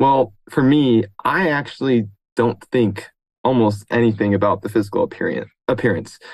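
Speaking fairly slowly at a medium pitch, a man uses ordinary pitch variation in an unremarkable speaking voice. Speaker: aspiring fantasy writer, community member. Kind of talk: panel discussion.

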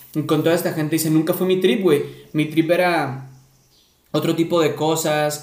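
Audible room echo surrounds a man talking with a Mexican accent. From Córdoba, Veracruz, Mexico. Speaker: podcast host. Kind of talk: casual chat.

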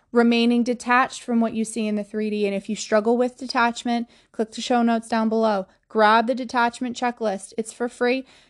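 A woman with an American accent at a fairly quick pace, fairly high in pitch, in a monotone, flat intonation, with a dry, close sound with no echo and a quiet background. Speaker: podcast host and manifestation coach. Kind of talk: motivational monologue. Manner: emphatic, repetitive; direct.

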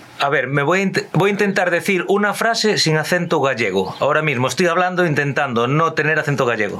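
A man talks at a fairly quick pace with lively intonation and hardly any pauses. His loudness stays very even, with noticeable background noise. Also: fairly high pitch for a man. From Galicia, Ourense. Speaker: podcast host. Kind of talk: casual chat.

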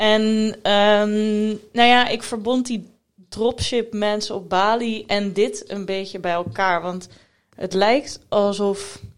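At a very slow pace, a woman speaks in a fairly high pitch. The recording is very clean with a silent background. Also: fairly even intonation. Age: 20s. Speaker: podcast co-host. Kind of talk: casual chat.

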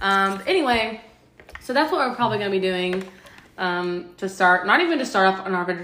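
A woman of medium pitch at a fairly quick pace, with audible room echo. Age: 20s. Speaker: podcast co-host. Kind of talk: casual chat.

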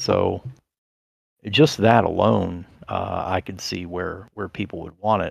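Speaking at a very slow pace, a man with a fairly low pitch shows ordinary pitch variation and big swings in loudness. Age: 40s. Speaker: podcast host. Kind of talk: casual interview chat. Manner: halting, filler-heavy.

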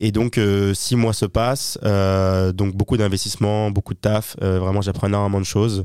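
A man's fairly low, dark and mellow voice, monotone and flat, at a moderate pace with hardly any pauses, very even loudness, and a very clean recording with a silent background. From southern France, Toulon. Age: 20s. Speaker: entrepreneur and purchasing manager. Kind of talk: casual interview.

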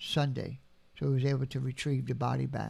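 On a very clean recording with a silent background, a man with an American accent speaks at a fairly high pitch. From New Orleans (Algiers, West Bank). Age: 70s. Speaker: artist and taxidermist, retired air force veteran. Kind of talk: interview conversation. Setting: at home, dining table. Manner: soft-spoken; gentle.

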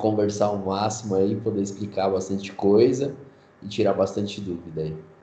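A man speaks in a fairly low, somewhat breathy voice with a dark, mellow tone. Room echo is audible. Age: 20s. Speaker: digital marketing specialist. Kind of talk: casual interview.

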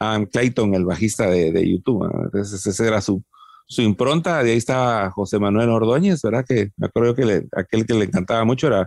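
A man with a fairly low pitch and ordinary pitch variation speaks at a fairly quick pace, his loudness very even, the sound dry and close with no echo. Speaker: rock singer-songwriter and producer. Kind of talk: casual interview.

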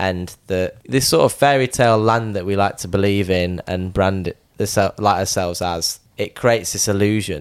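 A man with a Yorkshire accent, fairly low in pitch, at a moderate pace with ordinary pitch variation. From Sheffield, Yorkshire. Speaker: artist.

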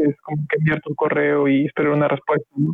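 Recorded with a dry, close sound and no echo, a man speaks fairly quickly in a fairly high pitch. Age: 30s. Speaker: physics student. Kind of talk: casual chat. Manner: halting, many fillers.

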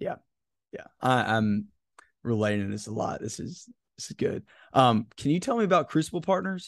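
A man's voice with very wide pitch swings, big swings in loudness and long, frequent pauses. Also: medium pitch for a man, moderate pace. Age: 20s. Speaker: leadership podcast host. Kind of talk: casual interview conversation.

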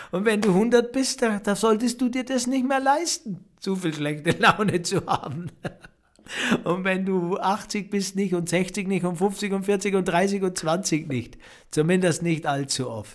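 The intonation is lively and the pace fairly slow. Noticeable background noise is present. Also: man, high pitch for a man. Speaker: podcast host, spiritual coach. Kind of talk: reflective monologue.

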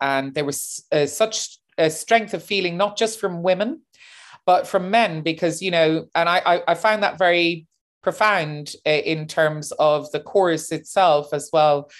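A woman's fairly low voice with a Cork accent, at a fairly slow pace. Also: ordinary pitch variation, quiet background. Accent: Cork Irish. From Ireland, Cork. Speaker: opera singer and activist. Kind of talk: interview.

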